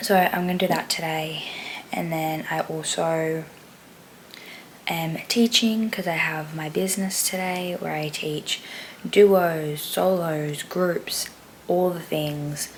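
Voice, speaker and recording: A woman with an Australian accent at a very slow pace and fairly even intonation, over noticeable background noise. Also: fairly low pitch for a woman. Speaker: vlogger and dance teacher. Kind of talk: casual vlog.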